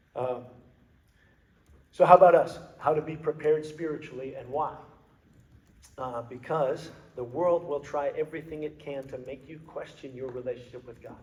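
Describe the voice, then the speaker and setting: A man speaks at a moderate pace, somewhat breathy, with fairly even intonation. His loudness swings widely, and he takes long, frequent pauses. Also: fairly high pitch for a man. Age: 50s. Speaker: motivational speaker, former cop and athlete. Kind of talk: talk to a men's group. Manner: frequent fillers and repetitions.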